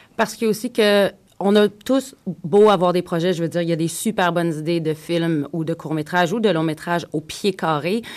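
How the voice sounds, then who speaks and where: A woman's fairly low-pitched voice, a normal speaking voice, at a fairly quick pace with ordinary pitch variation. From Quebec. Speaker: actress and screenwriter. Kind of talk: radio panel discussion. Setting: radio studio.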